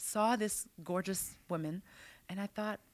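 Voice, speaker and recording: This woman has a Quebec accent and a medium pitch, speaking at a moderate pace. The recording is very clean, with a silent background. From Quebec City. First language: French. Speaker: business strategist and author. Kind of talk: interview. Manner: animated.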